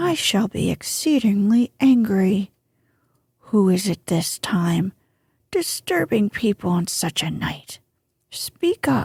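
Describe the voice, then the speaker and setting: A woman's gruff, put-on character voice at medium pitch, with very wide pitch swings, a fairly slow pace and long, frequent pauses. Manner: suspicious, irritated.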